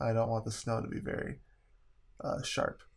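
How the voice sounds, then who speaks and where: The speech moves at a moderate pace on a very clean recording with a silent background. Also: man. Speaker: photographer. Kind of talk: software tutorial narration. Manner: monotone.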